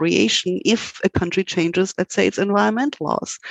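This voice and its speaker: In a dry, close sound with no echo, a woman with a German accent speaks at a fairly quick pace with lively intonation. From Germany. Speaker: law professor. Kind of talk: interview.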